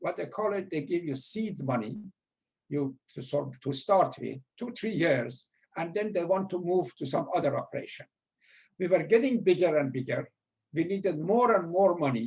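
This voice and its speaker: With a strong Persian accent, a man speaks at a moderate pace in a high voice. His intonation is lively. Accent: heavy Persian. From Iran. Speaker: former school administrator. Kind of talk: storytelling interview.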